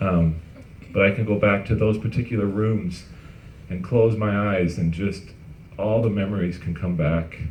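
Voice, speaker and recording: Audible room echo carries a man's fairly even delivery at a moderate pace, broken by long, frequent pauses. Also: fairly low pitch for a man. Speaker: company founder. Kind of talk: testimony.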